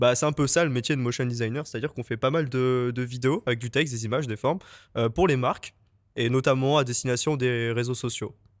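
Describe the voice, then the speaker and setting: A man with a medium pitch talks at a very fast pace with fairly even intonation, on a very clean recording with a silent background. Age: 20s. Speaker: junior motion designer. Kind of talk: podcast interview. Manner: hesitant, many fillers.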